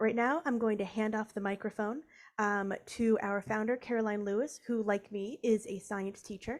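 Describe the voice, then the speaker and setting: Recorded very cleanly against a silent background, a woman with an American accent talks at a moderate pace in a fairly high voice. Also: fairly even intonation. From US Northeast. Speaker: program manager and science teacher. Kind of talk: workshop presentation. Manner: halting, many fillers.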